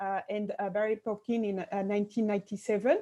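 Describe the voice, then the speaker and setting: A woman talks at a fairly quick pace, the background quiet. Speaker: sociologist, university lecturer. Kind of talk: webinar lecture. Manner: fast; hesitant, many fillers.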